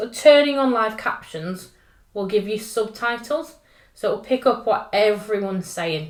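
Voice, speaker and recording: A woman with a northern English accent speaks at a fairly slow pace, her fairly high voice showing ordinary pitch variation. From northern England. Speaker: tech trainer. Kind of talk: tutorial. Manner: casual and upbeat.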